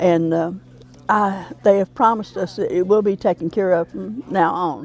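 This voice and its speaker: With an Appalachian accent, this voice shows ordinary pitch variation while music plays in the background. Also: woman. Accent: Southern Appalachian US. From US South, western North Carolina Smoky Mountains. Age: 80s+. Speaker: cemetery association co-chair. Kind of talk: interview.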